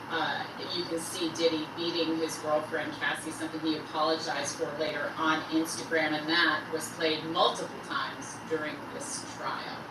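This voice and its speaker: A woman speaks at a moderate pace with hardly any pauses, her very deep, low voice flat and monotone. Audible room echo and noticeable background noise surround her. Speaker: live stream host. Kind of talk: live news commentary. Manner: hesitant with fillers; loud.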